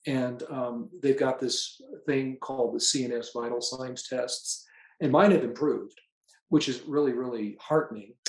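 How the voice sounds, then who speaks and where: A man talks at a moderate pace in a medium pitch. He has a normal speaking voice, and his pitch varies in an ordinary way. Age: 60s. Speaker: patient sharing testimonial. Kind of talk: testimony. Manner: casual with frequent fillers.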